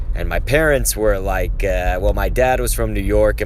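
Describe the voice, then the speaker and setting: A man speaks with an American accent. There is audible room echo and noticeable background noise. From Texas. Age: 30s. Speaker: gaming streamer. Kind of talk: live stream chat with viewers. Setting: live stream. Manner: subdued, low energy.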